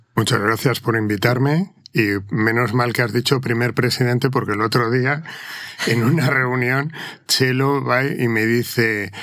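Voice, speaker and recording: Through noticeable background noise, a man with a medium pitch talks at a fairly slow pace, keeping very even loudness and fairly even intonation. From Madrid, Spain. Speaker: corporate lawyer, company secretary. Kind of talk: interview conversation. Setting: video podcast studio.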